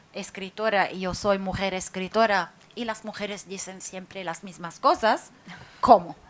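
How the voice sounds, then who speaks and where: A woman talks with a non-native accent. The recording is very clean, with a silent background. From Lebanon. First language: Arabic (speaking Spanish). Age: 40s. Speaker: writer. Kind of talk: public talk. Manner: halting, many fillers.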